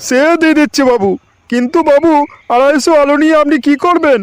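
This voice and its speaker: In a cartoonish character voice, the speaker goes at a moderate pace and sounds loud. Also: man, extremely high pitch for a man. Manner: loud, repetitive calling.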